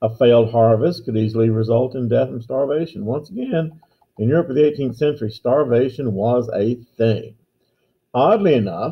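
A man speaks in a somewhat breathy voice. His pitch variation is ordinary. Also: moderate pace. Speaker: teacher. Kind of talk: lecture. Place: office. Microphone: webcam.

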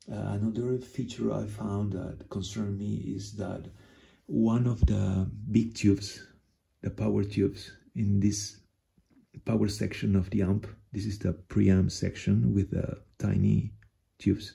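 A man with a dark, mellow tone and vocal fry keeps a fairly even intonation and leaves long, frequent pauses. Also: fairly low pitch for a man, fairly slow pace. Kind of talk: tutorial. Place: home room. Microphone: phone near.

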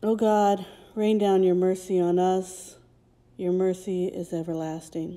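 A woman speaks at a fairly slow pace with a medium pitch, a dark, mellow tone and flat, monotone intonation. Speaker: prayer leader. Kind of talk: intercessory prayer. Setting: recorded at home.

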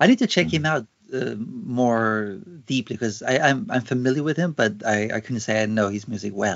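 With lively intonation, a man talks at a moderate pace against a quiet background. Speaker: podcast host. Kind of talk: interview. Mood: friendly, curious. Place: home room. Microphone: low quality Skype recording; earbuds.

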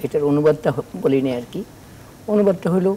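This is a man with a normal speaking voice. His pitch shows ordinary variation. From Bangladesh. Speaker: Islamic scholar, hadith teacher; hadith teacher. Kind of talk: religious Q&A explanation. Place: studio.

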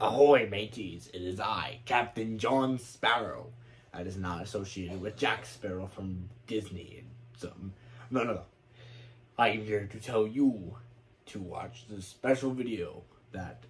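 Putting on a cartoonish character voice, a man talks at a fairly slow pace with a fairly low pitch and long, frequent pauses. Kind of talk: video intro. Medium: puppet.

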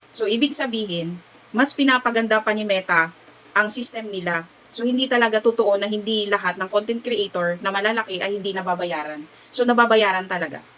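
A woman speaks fairly quickly, her pitch varying in an ordinary way, while noticeable background noise runs underneath. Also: medium pitch for a woman. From Visayas, Philippines. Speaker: vlogger. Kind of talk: casual vlog talk.

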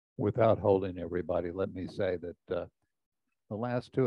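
Against a quiet background, a man with a very deep, low pitch talks at a fairly quick pace, the sound dry with no echo. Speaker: retired club president. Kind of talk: speech. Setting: stage with audience. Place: hall. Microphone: handheld.

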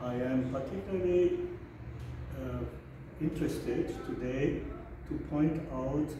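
A man speaks at a fairly slow pace. The room echo is audible and the background noise is noticeable. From Germany. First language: German. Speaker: author and scholar. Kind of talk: formal address. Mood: warm, celebratory. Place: office. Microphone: camera far.

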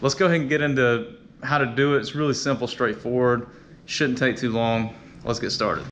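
A man's fairly even intonation comes through light background noise. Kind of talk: tutorial. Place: garage. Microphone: phone near.

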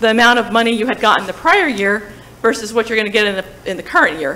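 A fairly high-pitched woman's voice with a New Jersey accent. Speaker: town finance staff presenting budget. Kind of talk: public meeting budget presentation. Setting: town hall meeting. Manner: hesitant, many fillers. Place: hall. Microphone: podium.

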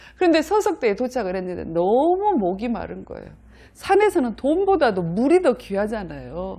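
A woman speaks at a moderate pace in a fairly high pitch with a dark, mellow tone and very wide pitch swings. Her loudness swings a lot, and the background is quiet. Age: 50s. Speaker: motivational speaker; lecturer, YouTuber. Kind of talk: vlog monologue. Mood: warm, expressive storytelling. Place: studio. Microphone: lapel.

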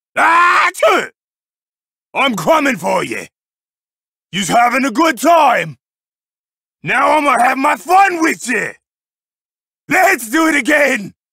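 Using a put-on character voice, a man speaks at an extremely high pitch in a raised, projected voice. His pace is fairly slow, with long, frequent pauses. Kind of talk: video game character voice lines. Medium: dub. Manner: rowdy, taunting.

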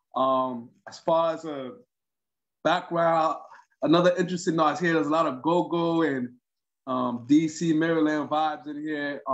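A man with a normal speaking voice talks at a moderate pace, his pitch fairly high and his intonation fairly even. The background is quiet. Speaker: musician; guest. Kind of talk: casual chat. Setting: video call. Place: home room. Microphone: video call.

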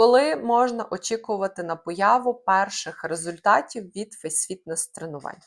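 A woman in an ordinary speaking voice speaks at a fairly slow pace and medium pitch, her intonation lively and with hardly any pauses. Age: 30s. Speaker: face fitness trainer. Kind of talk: scripted narration.

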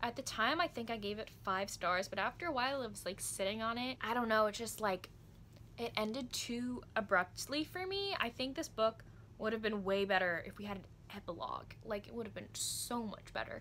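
A woman's fairly high, bright and sharp voice with vocal fry, delivered at a fairly quick pace over light background noise. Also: ordinary pitch variation. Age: 20s. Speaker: book vlogger. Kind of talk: book review vlog. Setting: home recording, construction noise nearby. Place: home room. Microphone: phone near.

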